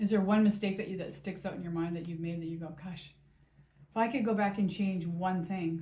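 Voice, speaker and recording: A woman's somewhat breathy voice, medium in pitch with a dark, mellow tone, at a fairly quick pace and with fairly even intonation. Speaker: fitness content creator. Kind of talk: interviewer questions.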